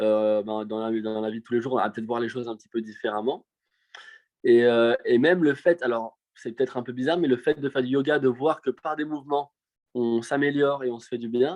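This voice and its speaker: Medium in pitch, a man talks at a fairly quick pace. His pitch variation is ordinary, and his loudness swings widely. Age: 20s. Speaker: professional show jumping rider. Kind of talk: casual interview. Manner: hesitant, many fillers.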